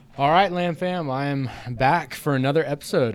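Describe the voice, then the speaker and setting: Speaking at a moderate pace, a man has an unremarkable speaking voice with ordinary pitch variation. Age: 30s. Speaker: podcast host, gym coach. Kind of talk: casual interview chat. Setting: gym.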